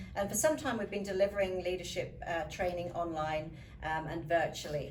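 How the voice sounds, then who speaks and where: A woman speaks with a fairly low pitch, and the recording has audible room echo and noticeable background noise. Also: ordinary pitch variation, moderate pace. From UK. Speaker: leadership coach and professional speaker. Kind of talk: interview.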